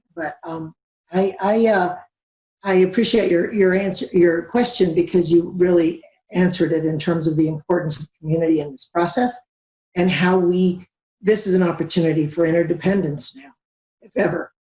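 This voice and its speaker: Somewhat breathy and dark, mellow in tone, a woman speaks at a fairly low pitch and moderate pace, her intonation fairly even but her loudness swinging widely. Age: 60s. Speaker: community organizer. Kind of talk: panel discussion. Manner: halting.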